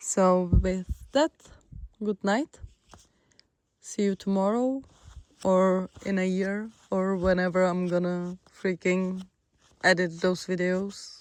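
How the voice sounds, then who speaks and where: In a Czech accent, the speech moves at a very slow pace with long, frequent pauses. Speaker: long-distance hiker vlogger. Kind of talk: casual vlog narration. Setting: hiking shelter; outdoors.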